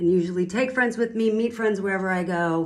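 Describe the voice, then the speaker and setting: Room echo can be heard around a woman's voice. Her pitch is medium, with ordinary variation. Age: 50s. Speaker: single woman sharing her view. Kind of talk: personal testimony monologue.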